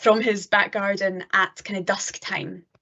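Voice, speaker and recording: The speaker has a Scottish accent. The delivery moves at a moderate pace. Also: woman. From northeast Scotland. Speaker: PhD student, planetary geologist. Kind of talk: lecture. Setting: online live-streamed talk.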